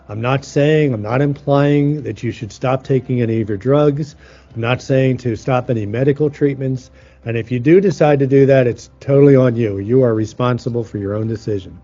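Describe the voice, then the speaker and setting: A man's medium-pitched voice at a fairly quick pace, ordinary pitch variation, music playing in the background. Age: 60s. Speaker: healing teacher. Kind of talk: teaching talk.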